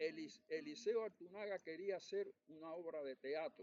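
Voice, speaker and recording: The sound is dry and close with no echo as a man's voice moves through very wide pitch swings. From eastern Cuba, Guantánamo. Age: 80s+. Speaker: writer and former diplomat. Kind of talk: storytelling in a public talk. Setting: cultural center talk with audience. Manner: halting, with frequent repetitions.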